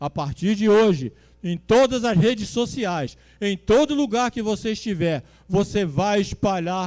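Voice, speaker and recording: Dark and mellow in tone, a man speaks at a fairly slow pace with lively intonation. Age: 70s. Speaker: pastor. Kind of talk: sermon. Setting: church.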